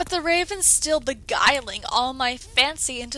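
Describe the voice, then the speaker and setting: Raising and projecting her voice, a woman speaks in a dramatic tone at a fairly slow pace with ordinary pitch variation. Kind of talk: poetry reading.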